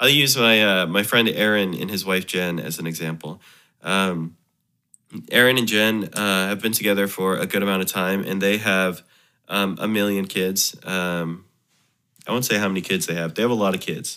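A man's bright, sharp tone with fairly even intonation. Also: moderate pace, very clean recording, silent background. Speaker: musician, bluegrass guitar teacher. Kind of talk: casual chat.

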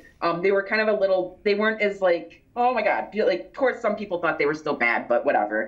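A woman speaks at a fairly quick pace. Her voice is fairly high. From Michigan. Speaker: author and paranormal researcher, library worker. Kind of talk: interview, conversational storytelling. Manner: articulate, engaging speaker.

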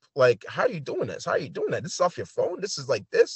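A man's lively intonation, with vocal fry. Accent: New York. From New York City. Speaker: photographer and hip hop artist. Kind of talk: casual interview.

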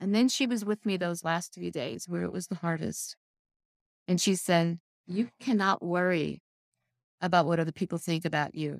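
A woman with a fairly low voice speaks at a moderate pace with ordinary pitch variation and long, frequent pauses, dry and close with no echo on a very clean recording with a silent background. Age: 60s. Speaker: author and life coach. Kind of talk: casual interview chat.

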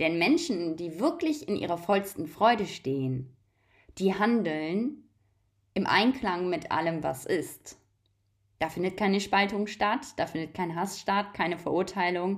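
Heard on a very clean recording with a silent background, a woman uses an ordinary speaking voice at a medium pitch, with lively intonation and a fairly slow pace. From Germany. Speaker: holistic coach and spiritual podcaster. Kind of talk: spiritual monologue.

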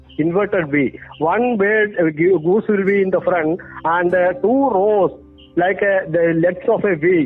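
Over noticeable background noise, a man talks with a high pitch and ordinary pitch variation. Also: fairly slow pace, very even loudness. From Kerala, India. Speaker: behavioral scientist and author. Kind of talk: interview. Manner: hesitant with frequent fillers.

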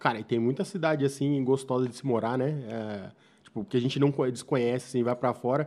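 Here a man uses a normal speaking voice, medium in pitch with ordinary pitch variation. He talks at a fairly quick pace against a quiet background. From Brazil, São Roque region (São Paulo state). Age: 30s. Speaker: podcast host. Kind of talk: casual interview chat. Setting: studio.

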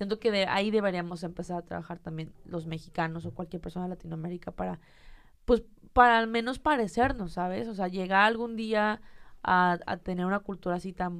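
A normal speaking voice, moderate in pace and ordinary in pitch variation. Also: woman. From Mexico, Monterrey. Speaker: content creator. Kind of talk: casual chat.

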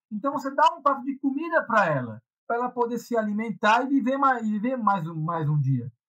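At a fairly quick pace, a man speaks with an extremely high pitch, very wide pitch swings and a bright, sharp tone. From Brazil, São Paulo. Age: 40s. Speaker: Hare Krishna devotee and punk. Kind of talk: casual interview.

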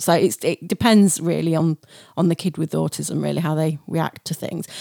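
A woman talks at a fairly quick pace with a fairly low pitch, in an ordinary speaking voice. The sound is dry and close, with no echo. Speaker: podcast co-host. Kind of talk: casual chat.

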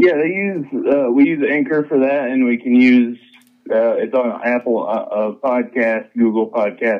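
In an ordinary speaking voice, a man with an American accent talks at a fairly slow pace, with a medium pitch and ordinary pitch variation. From Idaho. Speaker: comic book creator. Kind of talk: interview. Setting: phone call.

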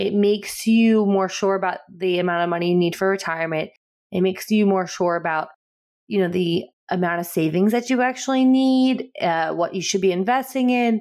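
A woman speaks fairly quickly in an unremarkable speaking voice, with ordinary pitch variation and very even loudness. The recording is very clean, with a silent background. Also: medium pitch for a woman. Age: 30s. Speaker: podcast co-host. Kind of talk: casual chat.

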